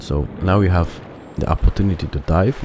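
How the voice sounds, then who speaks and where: The speaker, who has a non-native accent, is heard over noticeable background noise. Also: man. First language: not English. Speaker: gaming video creator. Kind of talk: let's play commentary. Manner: halting, with many fillers.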